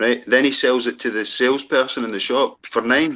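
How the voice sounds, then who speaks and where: In a Scottish central belt accent, a man speaks at a moderate pace with a medium pitch and a bright, sharp tone over a quiet background. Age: 40s. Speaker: former car salesman. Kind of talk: casual chat. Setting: group video call live stream.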